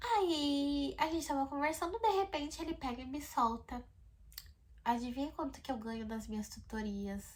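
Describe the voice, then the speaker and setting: An animated woman's voice, high-pitched, with very wide pitch swings at a moderate pace. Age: 20s. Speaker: vlogger. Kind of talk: storytelling vlog. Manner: talkative.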